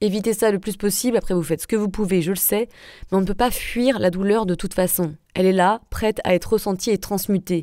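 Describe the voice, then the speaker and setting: A woman speaks at a medium pitch with a dark, mellow tone and fairly even intonation, at a fairly quick pace. The recording is very clean, with a silent background. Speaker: wellness and spirituality podcaster. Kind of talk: solo podcast monologue.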